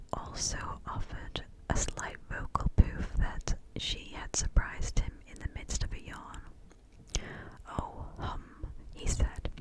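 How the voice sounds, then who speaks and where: Against noticeable background noise, a woman whispers breathily at a very slow pace. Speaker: ASMR creator. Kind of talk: ASMR book reading. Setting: close-up binaural microphone recording. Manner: whispered, soft, breathy.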